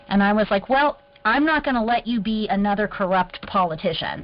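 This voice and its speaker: A woman's fairly high voice at a moderate pace. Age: young. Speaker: water aid worker. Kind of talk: casual chat. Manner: animated.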